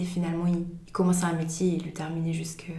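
A woman talks in a fairly low, monotone, flat voice. Noticeable background noise and audible room echo fill the recording. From Switzerland, Valais. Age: 20s. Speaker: trainee early childhood educator. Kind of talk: interview conversation.

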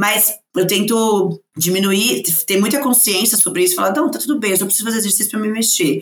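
Woman at medium pitch talking at a very fast pace. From Brazil, São Paulo. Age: 30s. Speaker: diversity speaker and entrepreneur. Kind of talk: casual chat.

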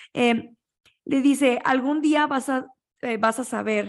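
On a very clean recording with a silent background, a woman speaks at a fairly slow pace in a high voice. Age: 20s. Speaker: podcast host. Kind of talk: casual chat.

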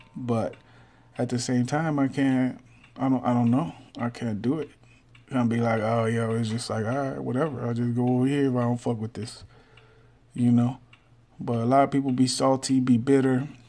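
A man with an American accent talks at a moderate pace in a dark, mellow tone with monotone, flat intonation and long, frequent pauses. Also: medium pitch for a man. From Texas. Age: 30s. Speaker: podcaster. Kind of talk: casual monologue.

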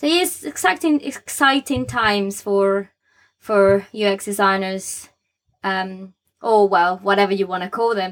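With a plain, everyday voice, a woman speaks at a fairly slow pace and medium pitch with lively intonation, in a very clean recording with a silent background. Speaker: podcast host, UX designer. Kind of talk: casual podcast chat.

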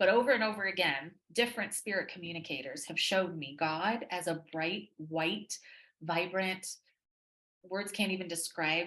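Speaking in an American accent, a woman has a fairly low pitch and a bright, sharp tone. Her pace is fairly slow and her pitch variation ordinary. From Texas. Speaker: psychic medium. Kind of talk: casual chat.

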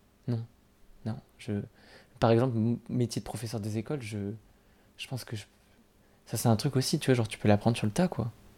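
Captured on a very clean recording with a silent background, a man with a dark, mellow tone and medium pitch speaks at a fairly quick pace, with ordinary pitch variation and long, frequent pauses. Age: 20s. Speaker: university student. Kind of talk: casual chat.

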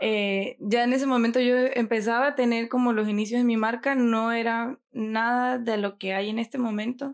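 A woman speaks at a fairly high pitch and a moderate pace with hardly any pauses. Her intonation is monotone and flat, in a very clean recording with a silent background. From Venezuela, Mérida. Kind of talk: interview.

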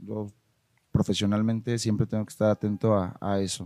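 A man with a Mexican accent and a fairly low pitch, at a moderate pace, in a dry, close sound with no echo. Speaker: marketing agency owner. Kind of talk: casual interview chat. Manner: halting, repeats words.

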